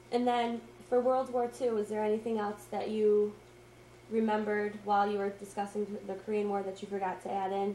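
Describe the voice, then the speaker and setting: A woman's monotone, flat delivery at a fairly quick pace, with audible room echo and light background noise. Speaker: student interviewer. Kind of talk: oral history interview. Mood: polite, gentle questioning. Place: home room. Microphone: old recording.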